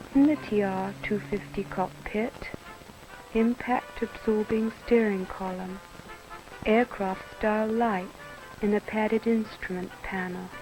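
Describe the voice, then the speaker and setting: Over music in the background, a woman at medium pitch speaks at a fairly slow pace with long, frequent pauses. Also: fairly even intonation. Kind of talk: TV commercial read.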